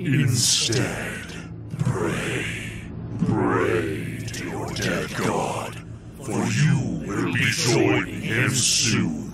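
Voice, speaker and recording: A man puts on a character voice with a very deep, low pitch. He speaks at a very slow pace over loud background noise. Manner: contemptuous, mocking.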